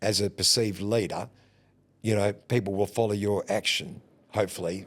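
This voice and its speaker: An Australian-accented man speaks at a fairly low pitch and a moderate pace with fairly even intonation and very even loudness, on a very clean recording with a silent background. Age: 50s. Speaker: booking agent and band leader. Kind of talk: podcast interview. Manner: halting.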